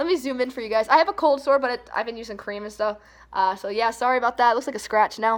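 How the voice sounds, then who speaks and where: A woman talks at a very fast pace in a squeaky, fairly high voice. Her loudness swings a lot while her pitch varies in an ordinary way. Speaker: vlogger. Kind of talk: casual vlog chat. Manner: casual, lots of fillers.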